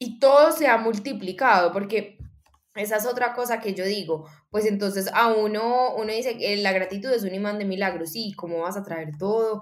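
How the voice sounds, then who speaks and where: A woman speaks at a fairly high pitch and a moderate pace, with ordinary pitch variation. She has a normal speaking voice. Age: 20s. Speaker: coma survivor sharing personal story. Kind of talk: interview testimony.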